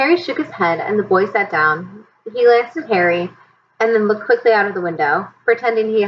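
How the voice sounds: The intonation is lively in this natural reading voice.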